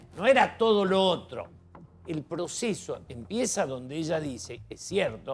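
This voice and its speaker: High-pitched male voice with very wide pitch swings and big swings in loudness, fairly slow pace, music in the background. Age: 70s. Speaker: TV panel guest. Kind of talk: TV panel debate.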